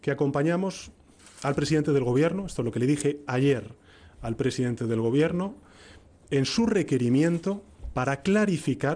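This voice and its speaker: This man has a dark, mellow tone and lively intonation. He keeps a moderate pace. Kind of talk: press conference statement. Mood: serious, formal. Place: hall. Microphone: podium.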